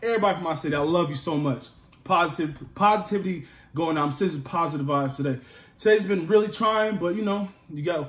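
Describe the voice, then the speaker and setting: Amid audible room echo, a man talks at a very fast pace in a high pitch with ordinary pitch variation. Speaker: food vlogger. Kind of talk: casual vlog chat. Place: home room. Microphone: phone near.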